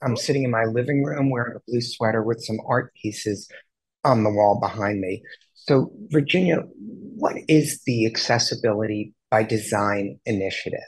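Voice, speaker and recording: The voice belongs to a man and sits at a medium pitch. It has a somewhat breathy sound. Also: ordinary pitch variation, moderate pace. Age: 60s. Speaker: interview show host. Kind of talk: interview. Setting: video call from home.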